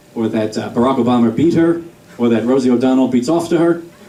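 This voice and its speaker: A man speaks with an American accent. The room echo is audible and the background noise noticeable. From New York. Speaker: stand-up comedian. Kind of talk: stand-up. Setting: stage with audience.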